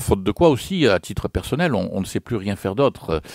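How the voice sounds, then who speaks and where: Lively intonation from a man with a fairly low voice, recorded with a dry, close sound and no echo. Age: 60s. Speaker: retired politician. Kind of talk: radio interview. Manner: hesitant, many fillers.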